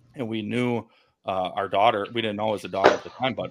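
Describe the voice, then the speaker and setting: A man with an American accent speaks in an unremarkable speaking voice, fairly low in pitch with ordinary pitch variation. The recording is very clean, with a silent background. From Milwaukee, Wisconsin, US Midwest. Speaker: suspended FBI agent and whistleblower. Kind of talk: interview.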